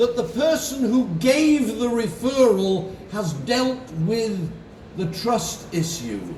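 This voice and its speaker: A man with a high-pitched voice speaks at a very slow pace. Audible room echo and noticeable background noise fill the recording. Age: 70s. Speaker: insurance advisor and conference speaker. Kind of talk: motivational keynote speech.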